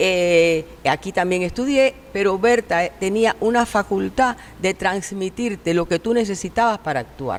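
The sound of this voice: Speaking at a moderate pace with few pauses, a woman uses lively intonation at a medium pitch.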